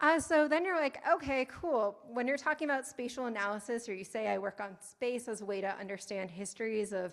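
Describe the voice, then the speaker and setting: Lively intonation from a woman pitched fairly high. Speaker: academic researcher. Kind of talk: conference talk. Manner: fast.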